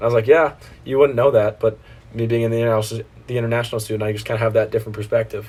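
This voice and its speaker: Speaking at a very fast pace, a man uses a medium pitch in an American accent. His voice is somewhat breathy. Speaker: college student. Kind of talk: casual chat. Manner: animated.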